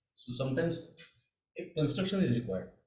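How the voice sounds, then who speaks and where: Somewhat breathy, a man talks at a very fast pace with a fairly high pitch. Room echo is audible. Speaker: mathematics teacher. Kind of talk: online lecture. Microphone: too quiet at first, then adjusted.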